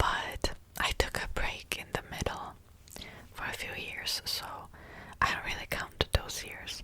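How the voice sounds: The speaker is whispering, and the pace is fairly slow. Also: woman.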